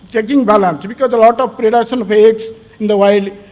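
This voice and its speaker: The man's pitch is extremely high, with ordinary pitch variation and noticeable background noise. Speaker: crocodile researcher. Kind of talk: conference presentation. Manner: fast; halting.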